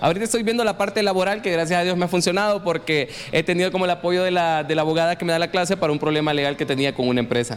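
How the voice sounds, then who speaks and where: A man with a high-pitched voice talks at a very fast pace with hardly any pauses, his loudness very even and his pitch varying in an ordinary way, over noticeable background noise. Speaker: radio host and political candidate. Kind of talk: casual interview.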